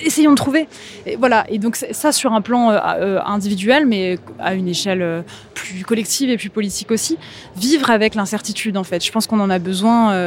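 A woman's fairly high voice with ordinary pitch variation at a moderate pace, against noticeable background noise. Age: 30s. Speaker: writer and musician. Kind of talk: interview. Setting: live event at a contemporary art museum. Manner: hesitant, many repetitions and fillers.

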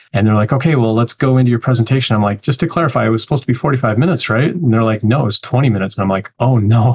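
A man with a Canadian accent speaks at medium pitch and a very fast pace, with hardly any pauses. His voice is somewhat breathy, with ordinary pitch variation and very even loudness. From Canada. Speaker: developer relations professional. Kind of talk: interview.

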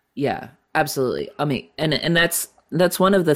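A man speaks at a moderate pace, his pitch varying in an ordinary way, on a very clean recording with a silent background. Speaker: musician. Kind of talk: casual interview chat.

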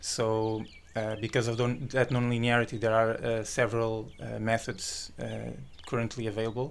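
Speaking at a moderate pace in a Portuguese accent, the man keeps a medium pitch and a monotone, flat intonation. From Portugal. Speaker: doctoral student in engineering. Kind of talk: interview. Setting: studio. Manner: halting.

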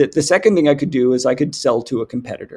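A man speaks in a plain, everyday voice with a Canadian accent. His pitch is fairly high, with ordinary variation. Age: 50s. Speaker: company CEO. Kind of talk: interview.

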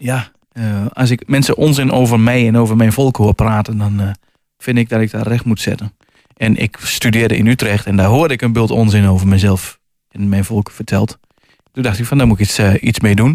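In a normal speaking voice, a man of medium pitch speaks at a moderate pace with fairly even intonation, on a very clean recording with a silent background. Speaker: author. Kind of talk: radio interview.

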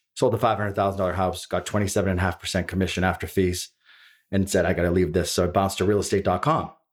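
Recorded very cleanly against a silent background, a man with a Boston accent speaks at a fairly low pitch. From East Boston, Massachusetts. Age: 40s. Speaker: real estate broker. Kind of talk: casual chat. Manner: animated.

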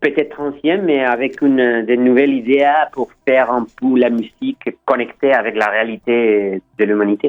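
A man speaks at a fairly slow pace with a Spanish accent. His pitch is medium, with ordinary variation. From Chile. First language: Spanish (speaking French). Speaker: record label co-founder. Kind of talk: radio interview. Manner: halting.

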